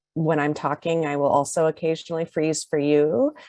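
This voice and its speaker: A soft-spoken woman has a fairly low pitch and a dark, mellow tone. The sound is dry and close with no echo, against a quiet background. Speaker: law scholar. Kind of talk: conference talk. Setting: video call. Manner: hesitant, many fillers.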